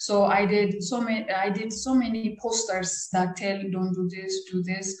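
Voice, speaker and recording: A woman speaks at a fairly slow pace with fairly even intonation. Audible room echo surrounds her voice. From Ethiopia, Addis Ababa; Ethiopia. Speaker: cartoonist; interviewee. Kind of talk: interview. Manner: halting, many fillers. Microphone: video call.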